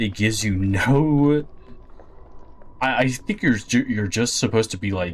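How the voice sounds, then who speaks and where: Mumbled speech from a man at medium pitch, moderate pace and ordinary pitch variation. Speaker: video game streamer. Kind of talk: gameplay commentary. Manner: mumbling.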